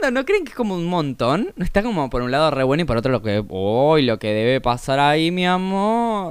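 Animated in tone, a man speaks at a fairly quick pace with very wide pitch swings. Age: 20s. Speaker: podcaster. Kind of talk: casual monologue.

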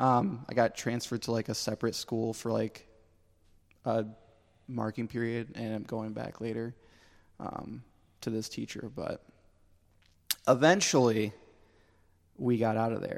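Speaking with an American accent, a man with a medium pitch moves at a fairly slow pace, keeping his intonation fairly even and leaving long, frequent pauses. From Pennsylvania. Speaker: church friend, former band drummer. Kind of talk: casual chat.

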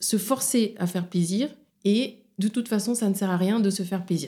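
A woman with a dark, mellow tone speaks at a fairly slow pace and with ordinary pitch variation, in a very clean recording with a silent background. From Senegal, Dakar. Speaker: psychologist and sexologist. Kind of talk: interview.

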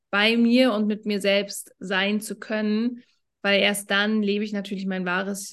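A woman with a medium pitch speaks in a monotone, flat intonation. The background is quiet. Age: 30s. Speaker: business coach. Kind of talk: casual chat.

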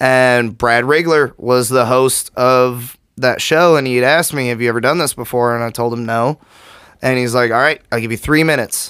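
On a very clean recording with a silent background, a man speaks in a plain, everyday voice. His pitch is medium, his pace moderate and his intonation fairly even. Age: 30s. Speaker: comedian. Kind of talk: casual chat. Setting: studio.

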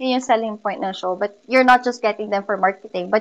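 Her pitch fairly high with ordinary variation, a woman talks at a very fast pace. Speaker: musical theater performer and music teacher. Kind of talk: interview.

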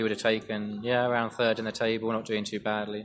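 A man talks at a fairly quick pace in a flat monotone. Noticeable background noise runs underneath. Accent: Essex. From Essex, England. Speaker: football writer. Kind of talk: casual interview.

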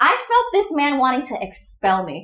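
A woman's voice, high in pitch. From Indonesia. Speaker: podcast host.

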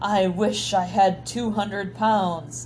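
Against clear background noise, someone bellows loudly in a put-on character voice at a middle pitch. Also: female-sounding voice. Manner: loud, dramatic, bellowing.

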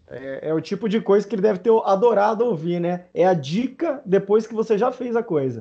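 Speaking at a moderate pace with hardly any pauses, a man uses lively intonation in a high voice. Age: 30s. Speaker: podcast host. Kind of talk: casual chat.

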